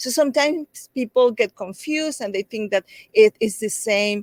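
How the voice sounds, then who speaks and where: Speech comes at a fairly slow pace with ordinary pitch variation and a Mexican accent. The sound is dry and close, with no echo. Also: woman. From Mexico (Veracruz). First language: Spanish. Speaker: children's book author. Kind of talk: interview.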